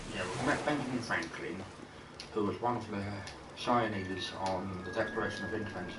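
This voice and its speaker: A man with a British accent talks at a moderate pace. Audible room echo and noticeable background noise fill the recording. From Britain. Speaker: video game streamer. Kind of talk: casual gameplay commentary. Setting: live stream.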